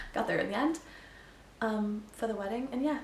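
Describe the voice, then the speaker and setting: A woman speaks at a medium pitch and a fairly quick pace with lively intonation. There is audible room echo and noticeable background noise. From Wales, later Canada. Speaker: mindset coach and podcaster. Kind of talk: casual personal storytelling. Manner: chatty, many fillers (um, like).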